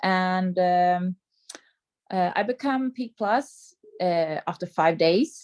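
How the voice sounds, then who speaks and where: A woman with a non-native accent, medium pitch and lively intonation, in a dry, close recording with no echo and a quiet background. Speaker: sales coordinator. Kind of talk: personal story on training call. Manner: halting.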